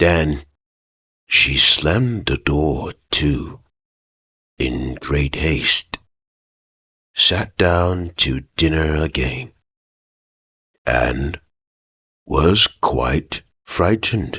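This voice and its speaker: Soft-spoken and very slow, a man does a put-on character voice at a very deep, low pitch, with long, frequent pauses. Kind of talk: ASMR bedtime story. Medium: read story. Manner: soft-spoken, slow, soothing.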